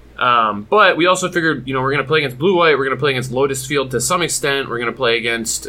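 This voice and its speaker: A man speaks at medium pitch with ordinary pitch variation in an American accent. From Michigan, US. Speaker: competitive card game player. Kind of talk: casual chat.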